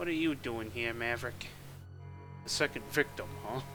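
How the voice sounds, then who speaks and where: Loud music plays in the background as a man speaks at a moderate pace. He uses a put-on character voice at medium pitch. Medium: actual play. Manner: stern.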